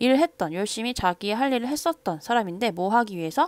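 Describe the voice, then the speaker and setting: A woman with a plain, everyday voice talks at a moderate pace with lively intonation in a dry, close sound with no echo. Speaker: English teacher. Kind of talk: lecture.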